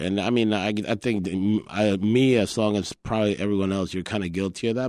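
This man has a Spanish accent and a fairly low pitch, speaking at a moderate pace with fairly even intonation. The recording is very clean, with a silent background. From Colombia. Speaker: chef and restaurant owner. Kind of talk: interview. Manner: hesitant, many fillers.

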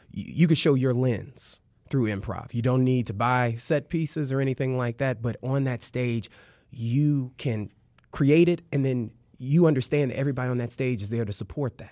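Speaking at a moderate pace with an American accent, a man has a medium pitch, ordinary pitch variation and a dark, mellow tone against a quiet background. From Chicago, South Side. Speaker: improv performer. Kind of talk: interview.

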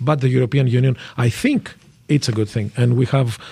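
A man's medium-pitched, somewhat breathy voice moves at a moderate pace and shows ordinary pitch variation. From France and Greece. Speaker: vice mayor for migrant affairs. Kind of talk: radio interview. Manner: halting, repeats words.

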